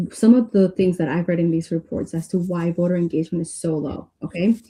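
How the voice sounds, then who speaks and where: A woman speaks in a fairly low pitch with a somewhat breathy voice. Her pace is moderate and her intonation fairly even. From Mexico, moved to US at age eight. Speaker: political candidate. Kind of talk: interview.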